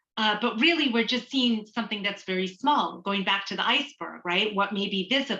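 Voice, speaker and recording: A woman's medium-pitched voice at a fairly quick pace, with hardly any pauses, ordinary pitch variation, and noticeable background noise. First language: Tamil. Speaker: trainer on cultural humility. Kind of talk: online training lecture. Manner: conversational, with many fillers.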